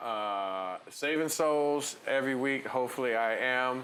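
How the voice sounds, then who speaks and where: At a fairly slow pace, a man speaks in a bright, sharp tone, with audible room echo around him. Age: 60s. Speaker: DJ. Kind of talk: interview. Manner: animated.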